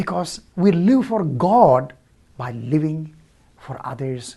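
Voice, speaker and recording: A man speaks at a very slow pace, his tone dark and mellow. He sounds somewhat breathy, with very wide pitch swings. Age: 60s. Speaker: church leader. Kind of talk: devotional talk. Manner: conversational, halting.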